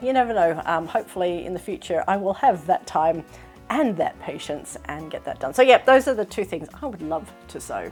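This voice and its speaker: Music plays in the background as a woman talks at a fairly quick pace. Her pitch swings very widely and her loudness shifts a lot. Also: medium pitch for a woman. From Australia. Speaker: sewing vlogger. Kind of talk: casual talk to camera.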